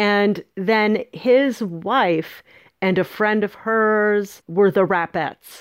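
A woman with an American accent at medium pitch, very slow pace and very even loudness, on a very clean recording with a silent background. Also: ordinary pitch variation. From San Francisco, US West Coast. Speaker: author. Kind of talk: interview storytelling.

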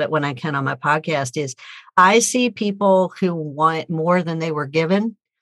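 A woman's ordinary speaking voice, fairly low in pitch with ordinary pitch variation, at a fairly slow pace in a dry, close sound with no echo. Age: 50s. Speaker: author and speaker. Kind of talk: casual chat.

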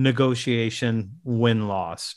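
A man speaks in an ordinary speaking voice at a medium pitch with fairly even intonation. The recording is very clean, with a silent background. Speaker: sales author and speaker. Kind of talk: interview. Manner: casual.

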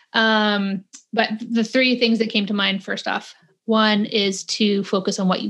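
Against a quiet background, a woman with a western Canadian accent speaks at medium pitch and a fairly slow pace. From Calgary, western Canada. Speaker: podcast host. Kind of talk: casual interview chat. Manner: animated.

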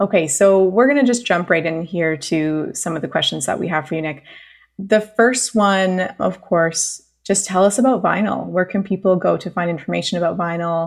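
With a Canadian accent, a woman uses a normal speaking voice at medium pitch and moderate pace. Pitch variation is ordinary, and the recording is very clean with a silent background. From Canada (British Columbia). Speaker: podcast host. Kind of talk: casual interview.

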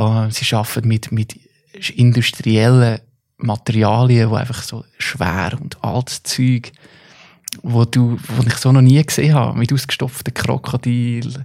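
Speaking at a fairly slow pace with fairly even intonation, a man uses an ordinary speaking voice at medium pitch, with a dry, close sound and no echo. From Central Switzerland, Stans (Nidwalden). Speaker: artist and musician. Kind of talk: casual chat.

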